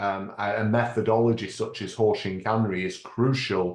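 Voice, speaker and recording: Against a quiet background, a man with a British accent speaks at a fairly slow pace. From United Kingdom. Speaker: lean management consultant and author. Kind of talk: webinar presentation. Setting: online webinar.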